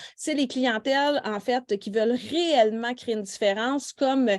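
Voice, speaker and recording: A woman speaks with a Quebec accent at a high pitch. Her pitch variation is ordinary. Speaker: nail technician trainer. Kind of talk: live online workshop. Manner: casual, many fillers.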